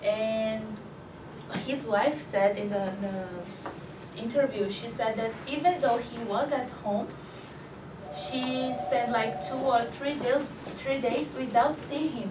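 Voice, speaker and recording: Over noticeable background noise and audible room echo, a woman with a Brazilian Portuguese accent talks at a very slow pace with lively intonation. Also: fairly high pitch for a woman. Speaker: English language student. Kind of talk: class presentation. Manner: halting.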